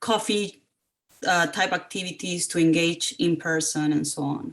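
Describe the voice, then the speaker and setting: In a Spanish accent, a woman talks at a moderate pace with lively intonation. Her pitch sits fairly low. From Costa Rica. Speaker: parent representative. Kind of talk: community meeting introduction.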